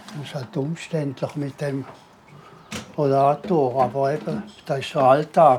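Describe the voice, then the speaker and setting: Over noticeable background noise, a man with a fairly high pitch speaks at a fairly slow pace, with ordinary pitch variation, big swings in loudness and long, frequent pauses. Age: 80s+. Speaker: widower, former carer of his wife. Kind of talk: documentary interview answer.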